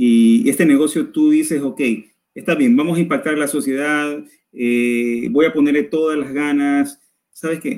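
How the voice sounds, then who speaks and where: A plain, everyday voice belongs to this man, whose pitch is fairly high. He talks at a moderate pace with ordinary pitch variation. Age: 20s. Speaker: university lecturer and entrepreneur. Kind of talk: casual interview. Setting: live stream video call.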